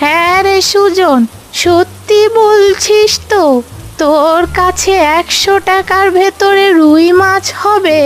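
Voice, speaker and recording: A woman puts on a cartoonish character voice with an extremely high pitch, ordinary pitch variation and very even loudness. She speaks at a very slow pace over clear background noise. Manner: gentle, humble.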